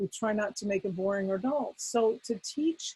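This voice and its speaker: Somewhat breathy and fairly high-pitched, a woman speaks at a moderate pace with ordinary pitch variation in a dry, close sound with no echo. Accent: American. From US, rural farm upbringing. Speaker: Islamic weekend school principal and education expert. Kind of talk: webinar panel talk.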